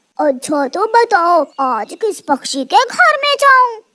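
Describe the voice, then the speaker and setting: This cartoonish character voice moves at a fairly slow pace, pitched extremely high with very wide pitch swings. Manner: greedy, grumbling.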